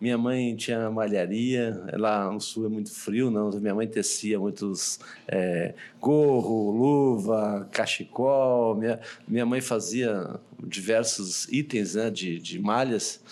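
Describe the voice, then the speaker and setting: A man with a medium pitch talks very slowly, keeping his intonation fairly even. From southern Brazil, Porto Alegre. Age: middle-aged. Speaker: hospital director. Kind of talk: interview.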